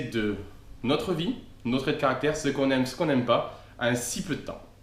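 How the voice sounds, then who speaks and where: The man's fairly quick delivery is heard with noticeable background noise. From southern France, Aude (Castelnaudary area). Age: 20s. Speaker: travel vlogger. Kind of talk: scripted humorous self-introduction.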